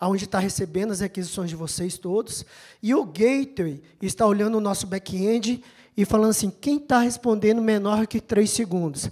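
Here a woman speaks at a moderate pace. Her pitch is medium, with ordinary variation. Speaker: IT infrastructure manager. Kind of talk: conference talk. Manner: animated.

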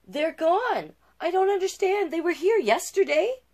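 A female-sounding, put-on character voice comes through at an extremely high pitch, shrill. The pace is moderate. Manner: shrieking, alarmed.

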